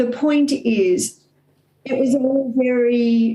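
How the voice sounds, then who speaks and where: A woman speaks with an Australian accent. Her intonation stays fairly even. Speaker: author and coach. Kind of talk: motivational talk.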